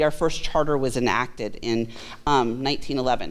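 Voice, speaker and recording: A woman talks in an animated tone with vocal fry. Room echo is audible. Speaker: city clerk. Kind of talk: presentation to a class. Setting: room with audience, video recorded. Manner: fast.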